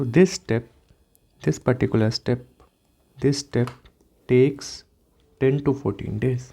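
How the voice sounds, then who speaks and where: With ordinary pitch variation, a man speaks in a dark, mellow tone. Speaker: medical lecturer. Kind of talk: lecture. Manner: slow.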